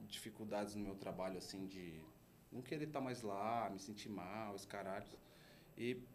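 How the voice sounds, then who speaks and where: A man with a São Paulo accent, fairly low in pitch with ordinary pitch variation, over noticeable background noise and audible room echo. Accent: Paulistano Brazilian Portuguese. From São Paulo, Brazil. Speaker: art agency co-founder. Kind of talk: casual interview chat.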